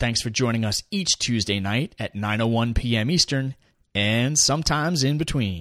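With a normal speaking voice at medium pitch, a man talks with lively intonation in a dry, close sound with no echo. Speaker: podcast host. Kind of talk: interview.

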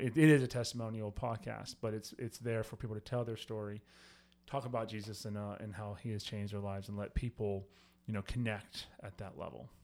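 Against a silent background in a very clean recording, a man with a plain, everyday voice speaks at a fairly quick pace and a fairly low pitch. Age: 40s. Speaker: church podcast host, pastor. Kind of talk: casual chat; podcast promo. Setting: studio with microphones.

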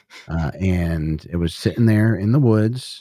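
A man with an American accent and a dark, mellow tone speaks with ordinary pitch variation in a very clean recording with a silent background and a dry, close sound with no echo. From US Northeast. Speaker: podcaster, musician, author and ghost hunter. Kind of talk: casual storytelling interview.

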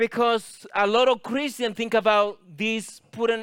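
On a very clean recording with a silent background, a man speaks at a high pitch with fairly even intonation. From Latin America. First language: Spanish. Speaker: guest preacher. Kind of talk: sermon.

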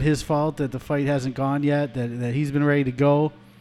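At a fairly quick pace, a man talks in a fairly high pitch, an unremarkable speaking voice. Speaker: podcast co-host. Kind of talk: casual sports talk podcast.

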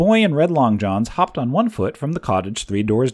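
An unforced reading voice is heard here. Nothing else is added to it.

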